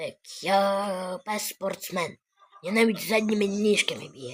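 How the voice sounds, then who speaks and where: In a put-on character voice with a middle pitch, the speaker goes at a fairly slow pace. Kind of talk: comic dub of animal clips. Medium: voice reel. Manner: playful, exclamatory.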